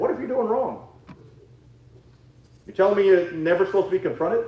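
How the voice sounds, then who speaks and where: Loud and very fast, a man with a high pitch talks amid noticeable background noise and audible room echo, leaving long, frequent pauses. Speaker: Sunday school teacher. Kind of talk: sermon. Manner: halting.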